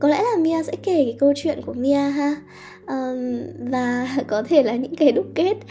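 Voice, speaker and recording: Over music in the background, a woman speaks with a high pitch and lively intonation. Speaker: podcast host. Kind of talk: personal monologue. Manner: halting, many fillers.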